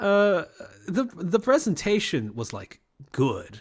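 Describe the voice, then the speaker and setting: The recording is very clean, with a silent background. A man speaks at a fairly slow pace, somewhat breathy, with very wide pitch swings. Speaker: streamer recounting university experience. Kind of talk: casual livestream monologue. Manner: sardonic, sarcastic tone; casual, filler-heavy.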